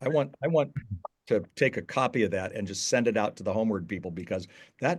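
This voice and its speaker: A man with an American accent and vocal fry, talking at a fairly quick pace against a quiet background. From Southern California. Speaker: author and youth ministry leader. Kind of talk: podcast interview.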